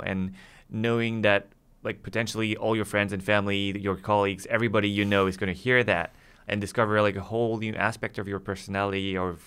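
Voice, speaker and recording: A man's fairly low voice with fairly even intonation, in a very clean recording with a silent background. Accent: French. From France. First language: French. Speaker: music podcast co-host. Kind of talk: casual chat.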